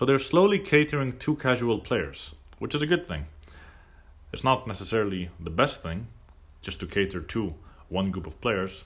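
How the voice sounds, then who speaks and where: A man speaks at a moderate pace with a medium pitch, vocal fry, very wide pitch swings and big swings in loudness. His long, frequent pauses come through on a very clean recording with a silent background. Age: 20s. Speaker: gaming podcast host. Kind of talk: solo casual monologue.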